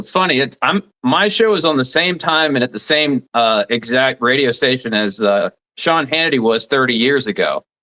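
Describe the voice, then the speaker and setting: A man speaks at a moderate pace with a slight Southern US accent. His pitch is fairly high for a man, and his intonation is lively. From southeast Alabama (Dothan). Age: 40s. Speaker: radio talk show host, former lawyer. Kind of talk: interview.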